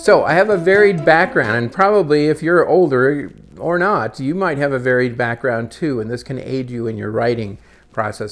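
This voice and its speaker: A normal speaking voice from a man with an American accent, medium in pitch, with lively intonation and a moderate pace. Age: 60s. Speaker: retired media producer and new novelist. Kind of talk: casual vlog monologue. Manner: relaxed, with frequent fillers.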